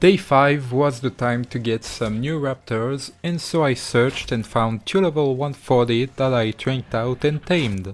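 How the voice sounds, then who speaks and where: Someone speaks with a French accent at a moderate pace and ordinary pitch variation. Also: man. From France. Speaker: gaming YouTuber. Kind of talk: gameplay commentary narration.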